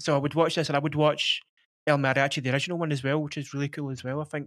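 A man with a Glasgow accent, very fast and monotone, on a very clean recording with a silent background. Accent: Scottish (Glasgow). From Scotland. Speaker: podcast host. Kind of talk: casual chat.

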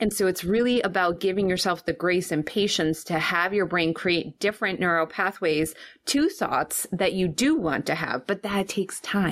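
With hardly any pauses, a woman talks in an unremarkable speaking voice at a medium pitch. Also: ordinary pitch variation, moderate pace. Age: 40s. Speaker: financial coach for business owners. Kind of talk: casual interview.

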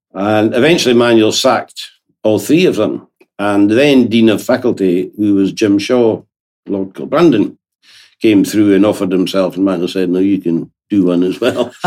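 With a Scottish accent, a man talks at a moderate pace in a fairly low pitch with ordinary pitch variation. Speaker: lawyer. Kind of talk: interview.

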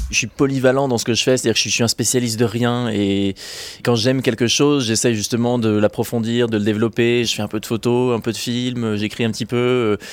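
Flat and monotone, a man's speech moves along rather quickly. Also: medium pitch for a man. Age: 20s. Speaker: adventurer and filmmaker. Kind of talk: interview. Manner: hesitant, frequent fillers.

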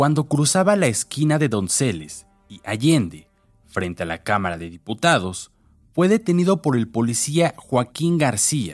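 Music in the background behind a man speaking at a fairly slow pace, his pitch swinging very widely. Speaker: true-crime narrator. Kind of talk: true-crime narration. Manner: grave, measured, deliberate newsreader-style delivery.

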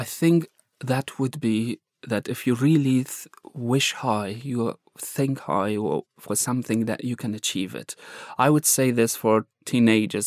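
The recording is very clean, with a silent background and a dry, close sound with no echo. A man with an Afghan accent speaks at a medium pitch with ordinary pitch variation. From Afghanistan. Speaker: journalist. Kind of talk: interview testimony. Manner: halting.

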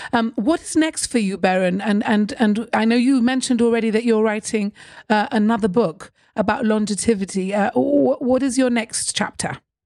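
Using an ordinary speaking voice, a woman talks at a moderate pace with fairly high pitch, ordinary pitch variation and very even loudness. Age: 50s. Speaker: podcast host. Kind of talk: interview. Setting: video call.

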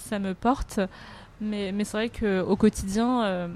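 With a dark, mellow tone, a woman speaks at a fairly high pitch and with fairly even intonation. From France, Paris (Chinese family). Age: 30s. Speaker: restaurateur. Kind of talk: interview. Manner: halting, many fillers and repetitions.

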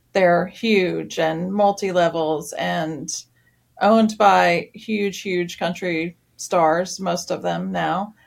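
A woman's fairly low voice, very slow in pace, with fairly even intonation. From Tennessee, small town south of Nashville. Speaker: music venue general manager. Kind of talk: interview. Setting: remote interview from her office.

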